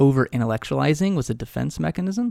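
The speaker has an American accent, heard in a dry, close sound with no echo on a very clean recording with a silent background. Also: man. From Texas, Amarillo. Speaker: podcaster and author, former pastor and professor. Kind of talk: interview conversation.

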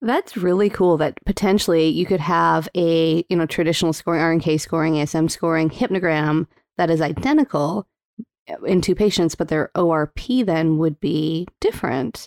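In a normal speaking voice, a woman with a fairly low pitch and ordinary pitch variation talks at a moderate pace with very even loudness, in a very clean recording with a silent background and a dry, close sound without echo. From Calgary, Alberta, Canada. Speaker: sleep physician and podcast host. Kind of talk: interview.

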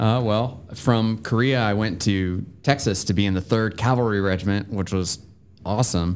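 A man speaks in a normal speaking voice. His intonation is fairly even, with an American accent. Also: fairly low pitch for a man, moderate pace. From US South, southwestern Virginia (Bedford County). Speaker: retired army officer. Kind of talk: casual interview chat. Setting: studio.

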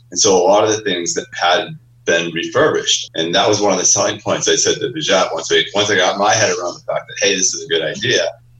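Noticeable background noise fills the recording. Over it, a man talks very fast. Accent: American. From Maine, US. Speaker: summer camp owner. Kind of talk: interview.

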